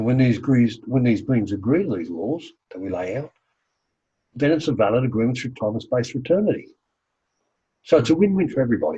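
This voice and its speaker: A dark, mellow, somewhat breathy voice with lively intonation, a very fast pace and long, frequent pauses. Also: man, medium pitch for a man. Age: 70s. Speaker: healing practitioner and teacher. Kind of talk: interview.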